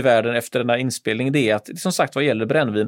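This man speaks with ordinary pitch variation. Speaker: history podcast co-host. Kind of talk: casual chat. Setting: radio studio. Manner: halting. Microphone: studio mic, not gaming headset.

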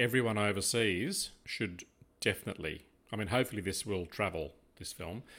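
A man speaks with ordinary pitch variation. His tone is fairly bright.

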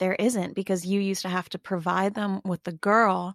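The speaker has a plain, everyday voice. The sound is dry and close, with no echo. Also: woman. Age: 20s. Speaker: podcaster, celebrity gossip commentator. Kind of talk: casual chat.

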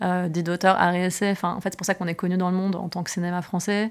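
A woman's very fast, monotone delivery with flat intonation, in a very clean recording with a silent background. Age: 30s. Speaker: film producer. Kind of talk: interview.

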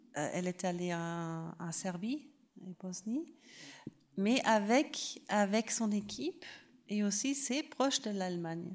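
Speaking with a German accent, a woman of medium pitch uses lively intonation at a very slow pace with long, frequent pauses. The recording is very clean, with a silent background. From Germany. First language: German (speaking French). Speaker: film festival artistic director. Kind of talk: panel talk. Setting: public venue with live audience. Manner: halting, searching for words.

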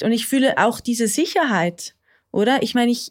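This woman has a high pitch and speaks at a moderate pace. Her recording is very clean, with a silent background. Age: 30s. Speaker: therapy client. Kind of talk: therapy conversation.

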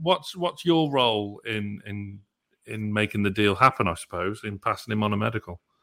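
A man with an unremarkable speaking voice and lively intonation, on a very clean recording with a silent background. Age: 30s. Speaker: podcast co-host. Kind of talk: interview; casual chat.

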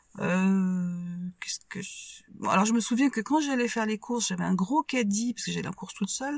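The voice is somewhat breathy, with ordinary pitch variation. It moves at a fairly quick pace, the sound dry and close with no echo. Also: woman, medium pitch for a woman. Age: 60s. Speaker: widowed mother. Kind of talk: testimony. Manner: halting.

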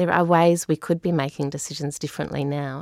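A woman with an Australian accent speaks at a moderate pace in a very deep, low pitch and a monotone, flat intonation. The recording is very clean with a silent background and a dry, close sound with no echo. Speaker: climate adaptation engagement worker. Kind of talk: podcast interview.

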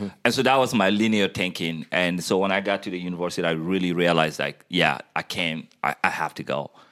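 A man with a bright, sharp tone speaks at a fairly quick pace. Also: ordinary pitch variation, hardly any pauses. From Guinea. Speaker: community platform founder. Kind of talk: casual conversation. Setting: workshop.

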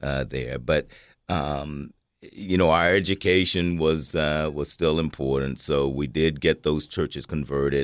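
Here a man talks fairly slowly in a very deep, low voice. The recording is very clean, with a silent background. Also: fairly even intonation. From Cookeville, Tennessee (US South). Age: 60s. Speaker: retired human resources worker. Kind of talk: radio interview. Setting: studio. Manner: hesitant with many fillers.

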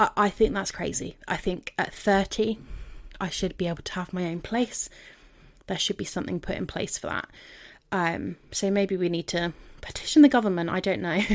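Speaking with a southern English accent, a woman uses a medium pitch and ordinary pitch variation at a moderate pace. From London and Devon, England. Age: 30s. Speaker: podcast host. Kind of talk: solo podcast monologue.

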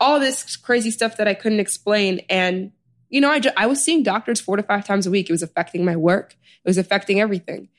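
A woman with an American accent, medium pitch, ordinary pitch variation, very even loudness and a very fast pace. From US Midwest, Chicago South Side. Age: 20s. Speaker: author and healer. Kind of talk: interview conversation.

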